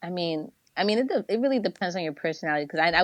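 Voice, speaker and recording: A woman speaks with a New Jersey accent. The sound is dry and close, with no echo. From New Jersey, US. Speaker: media platform founder. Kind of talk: casual interview chat. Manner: casual, filler-heavy.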